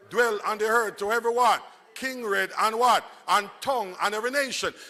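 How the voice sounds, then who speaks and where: A raised, projected voice, animated and bright with a sharp edge. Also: man, high pitch for a man. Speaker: evangelist preacher. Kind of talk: sermon. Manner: slow, deliberate; call-and-response, animated.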